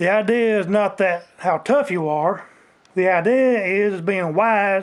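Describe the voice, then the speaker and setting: In an American accent, a man speaks loudly and fairly slowly, his high voice keeping fairly even intonation. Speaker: outdoors vlogger. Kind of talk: rant. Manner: grumpy-sounding.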